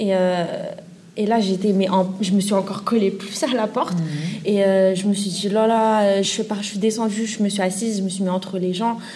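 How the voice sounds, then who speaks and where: The speech moves at a moderate pace with fairly even intonation. Noticeable background noise and audible room echo surround it. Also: woman. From Paris suburbs. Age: 20s. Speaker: student sharing experience. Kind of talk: testimony.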